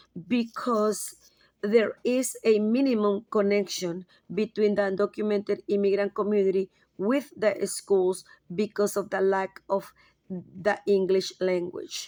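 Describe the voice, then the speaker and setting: A woman with a Spanish accent speaks at a fairly slow pace in a dark, mellow tone. Her pitch is medium and her intonation fairly even. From Latin America. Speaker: graduate student. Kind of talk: class presentation. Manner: halting.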